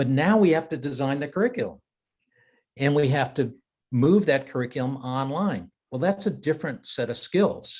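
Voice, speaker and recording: Somewhat breathy, a man with a fairly high pitch speaks at a moderate pace with lively intonation. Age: 70s. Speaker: strategy consultant and educator. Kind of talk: webinar interview. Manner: repetitive, halting restarts.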